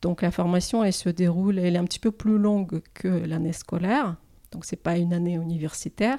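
On a very clean recording with a silent background, a woman speaks with a Russian accent in a dark, mellow tone, fairly low in pitch, with ordinary pitch variation. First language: Russian (speaking French). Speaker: lawyer. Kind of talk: interview.

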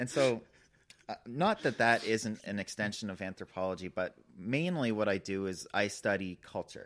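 With an unremarkable speaking voice, the man keeps a fairly low pitch, ordinary pitch variation and a moderate pace. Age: young. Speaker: doctoral candidate in social anthropology. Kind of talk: casual conversation.

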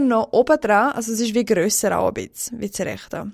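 Fairly even intonation shapes a woman's unremarkable speaking voice, fairly high in pitch and moderate in pace. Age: 20s. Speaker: guest, works in hospitality service. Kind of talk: casual chat.

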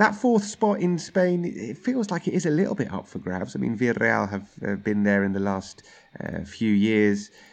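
With a London accent, a man talks at a moderate pace. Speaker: football pundit and TV presenter. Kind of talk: casual chat.

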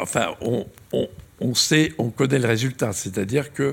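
Music plays in the background as a man speaks at a very slow pace. His medium pitch shows ordinary variation. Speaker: astrophysicist. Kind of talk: lecture.

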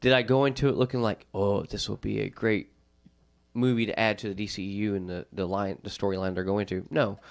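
An ordinary speaking voice at a fairly quick pace, with ordinary pitch variation. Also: man, fairly low pitch for a man. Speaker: podcast host. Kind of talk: casual chat about comics and movies.

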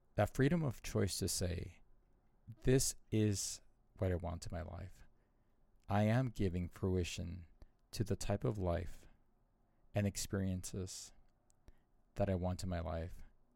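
In a very clean recording with a silent background, a man with an American accent speaks at a fairly slow pace in a very deep, low pitch and a dark, mellow tone, with ordinary pitch variation and long, frequent pauses. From Southern California and Arizona, US. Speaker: podcast host, mindfulness teacher. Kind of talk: solo monologue.

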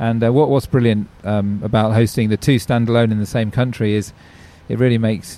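This man has an English accent and a dark, mellow tone. His intonation is monotone and flat. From England. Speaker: cricket tournament chief executive. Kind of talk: interview.

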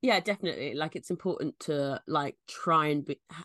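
A woman with a London accent talks at a fairly quick pace in a very deep, low pitch. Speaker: comedian. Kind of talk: casual chat. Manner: halting, filler-heavy.

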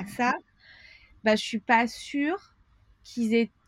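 A woman's fairly high voice with ordinary pitch variation, dry and close with no echo, in a very clean recording with a silent background. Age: 30s. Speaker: tutoring agency owner. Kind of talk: interview. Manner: hesitant, many fillers.

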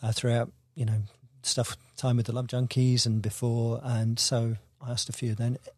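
A man with a slight Devon accent speaks at a medium pitch. His moderate-paced voice is somewhat breathy. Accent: slight Devon accent, barely detectable. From Devon, south-west England. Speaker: musician, band leader. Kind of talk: casual interview chat. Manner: halting, with many repeated words.

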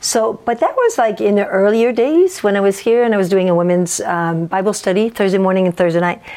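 Speaking at a fairly quick pace with hardly any pauses, a woman with a French accent keeps a medium pitch and very even loudness. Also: ordinary pitch variation. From French Canada. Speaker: pastor. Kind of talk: casual interview chat.

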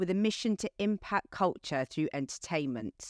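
With lively intonation, a woman is heard in a dry, close sound with no echo, on a very clean recording, silent background. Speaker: podcast co-host. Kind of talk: scripted introduction; interview.

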